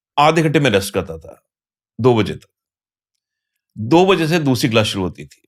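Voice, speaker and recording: A man at a medium pitch swings his pitch very widely and uses vocal fry, captured on a very clean recording with a silent background. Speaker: tax educator. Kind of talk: casual interview.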